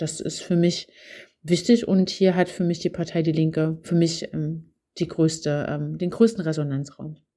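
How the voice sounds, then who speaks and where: A woman's fairly low-pitched voice, dark and mellow in tone, with fairly even intonation. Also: very clean recording, silent background. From Saxony, Zwickau area. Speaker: politician. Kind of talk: interview. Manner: hesitant, many fillers.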